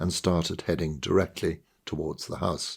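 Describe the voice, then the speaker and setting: Speaking at a fairly slow pace, a man is heard on a very clean recording with a silent background. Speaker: author. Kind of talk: short story reading.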